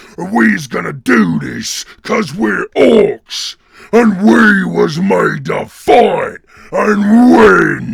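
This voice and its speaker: Putting on a raspy character voice, a man speaks at a very slow pace. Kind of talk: dramatic character monologue.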